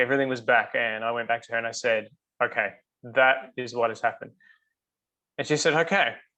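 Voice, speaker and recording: At a fairly quick pace, a man with an Australian accent speaks at a medium pitch in a bright, sharp tone. Long, frequent pauses break up his speech against a quiet background. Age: 40s. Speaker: customer sharing health story. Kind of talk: interview testimony. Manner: hesitant, many fillers.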